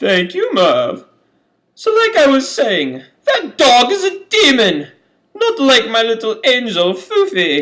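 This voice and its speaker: A man puts on a cartoonish character voice at an extremely high pitch. He speaks at a fairly slow pace. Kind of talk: comic overacting. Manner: haughty, condescending.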